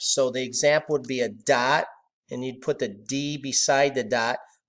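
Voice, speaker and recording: A man with a normal speaking voice and fairly high pitch talks at a fairly slow pace on a very clean recording with a silent background. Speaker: math teacher. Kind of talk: lecture.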